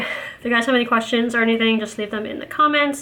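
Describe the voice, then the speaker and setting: A woman talks at a fairly quick pace in a high voice. Her intonation stays fairly even. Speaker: mom vlogger. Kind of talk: casual vlog monologue. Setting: at home with kids. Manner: fast.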